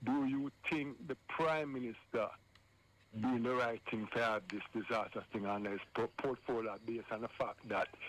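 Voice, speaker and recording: A man's ordinary speaking voice at a medium pitch, moderate pace and fairly even intonation. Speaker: caller phoning in to a radio show. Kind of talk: live radio phone-in call. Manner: earnest, talking over the host.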